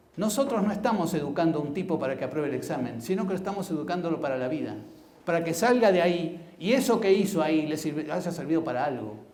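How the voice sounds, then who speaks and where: A man talking very fast in a high voice with lively intonation, amid noticeable background noise and audible room echo. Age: 70s. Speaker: blind mathematics educator, symposium speaker. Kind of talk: conference talk. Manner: hesitant, with fillers.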